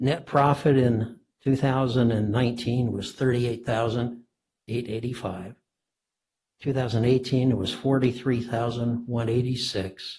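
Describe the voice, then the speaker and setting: A man's somewhat breathy, medium-pitched voice, fairly slow with fairly even intonation. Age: 80s+. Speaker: property owner appealing tax assessment. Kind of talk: testimony at public hearing. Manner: halting, with many fillers.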